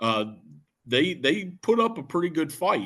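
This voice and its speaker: In a Shenandoah Valley accent, a man speaks at a very slow pace. The background is quiet. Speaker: Civil War historian. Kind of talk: history talk. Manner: many fillers (uh, um).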